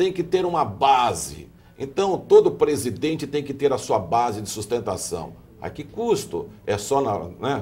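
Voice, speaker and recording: A man speaks fairly slowly with vocal fry. His fairly high voice swings very widely in pitch. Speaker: TV host. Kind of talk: televised political panel discussion. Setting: TV studio. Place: studio. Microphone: lapel.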